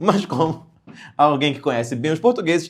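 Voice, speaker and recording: Very wide pitch swings mark this man's fairly high voice. The recording is very clean, with a silent background. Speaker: comedian. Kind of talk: satirical news comedy. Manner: animated.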